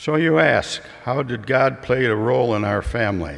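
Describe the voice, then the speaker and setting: This man has an American accent, lively intonation, a fairly slow pace and some vocal fry. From US Midwest. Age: 80s+. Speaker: retired father giving a reflection. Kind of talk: prepared speech at church. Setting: church. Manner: formal.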